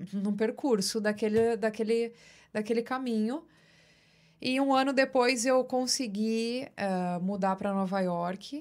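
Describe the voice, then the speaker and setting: The recording is very clean, with a silent background. A woman speaks very slowly at a fairly high pitch. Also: ordinary pitch variation. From São Paulo, Brazil (Osasco area). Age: 30s. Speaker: audiovisual producer. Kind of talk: casual interview chat. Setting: studio.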